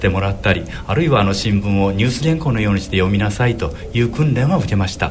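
Very fast speech with hardly any pauses and lively intonation comes through audible room echo and noticeable background noise. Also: man, fairly low pitch for a man. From Shimane, Izumo area. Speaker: dentist and horse racing commentator. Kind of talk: radio interview.

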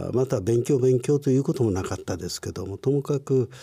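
Somewhat breathy, with a dark, mellow tone and ordinary pitch variation, a man speaks in a very clean recording with a silent background. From Japan, Ibaraki (Chikusei), born in Tokyo. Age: 60s. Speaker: company president, care business founder. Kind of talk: interview, life story. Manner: lecture-like.

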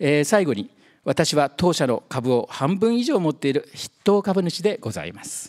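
This man has a high pitch and speaks at a moderate pace. His voice makes very wide pitch swings. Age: 60s. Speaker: company president and founder. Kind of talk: investor presentation. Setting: seminar stage with audience.

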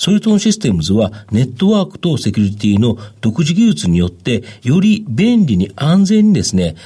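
Speaking at a moderate pace, a man with a dark, mellow tone and a somewhat breathy voice makes very wide pitch swings. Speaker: stock market analyst. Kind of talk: radio interview. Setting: studio.

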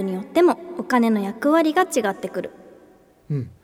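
Her intonation sounds lively. The woman keeps up a fairly quick rate. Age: 30s. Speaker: financial planner and financial educator. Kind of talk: casual educational chat.

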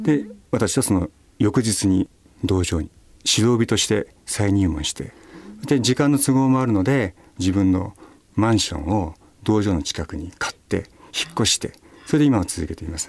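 This man has a fairly low pitch and lively intonation. He talks at a moderate pace with long, frequent pauses. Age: 50s. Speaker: pharmacist and karate competitor. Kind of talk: radio interview. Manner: polite.

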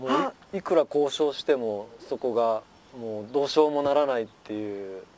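A man speaks at a moderate pace in a normal speaking voice. His medium pitch shows ordinary variation. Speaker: farmer. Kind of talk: casual interview. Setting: outdoors on a wooden deck.

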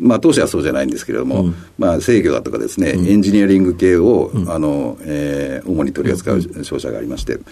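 A man's very deep, low voice at a very fast pace with lively intonation, amid noticeable background noise. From Kitakyushu, Fukuoka, Japan. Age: 60s. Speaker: company president. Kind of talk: radio interview. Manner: frequent fillers and hesitations.

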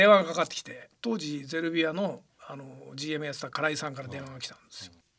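Delivery comes at a very fast pace with ordinary pitch variation. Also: man, fairly high pitch for a man, big swings in loudness. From Yokohama, Kanagawa, Japan. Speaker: football club president. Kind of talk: radio interview.

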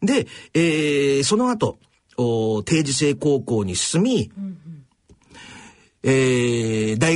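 A man's somewhat breathy voice swings very widely in pitch. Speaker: radio host and social pathologist. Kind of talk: radio talk show commentary. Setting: studio.

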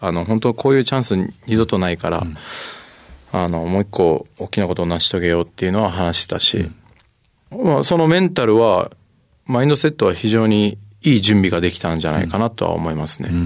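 A man's fairly low-pitched, ordinary speaking voice with lively intonation at a fairly quick pace. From Japan, Kagoshima. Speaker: rugby player. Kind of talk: interview. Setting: studio.

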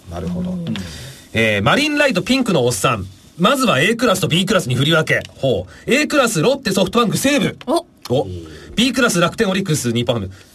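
Noticeable background noise runs behind a man speaking at a fairly quick pace. His high voice moves in very wide pitch swings. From Japan, Aomori. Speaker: radio host. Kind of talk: casual chat.

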